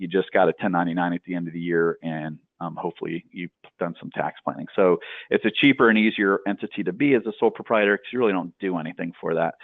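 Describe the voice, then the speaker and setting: A man speaks at a very fast pace. His pitch is very deep and low. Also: ordinary pitch variation. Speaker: tax accountant. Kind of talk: coaching call presentation. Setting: group coaching call. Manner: hesitant, many fillers.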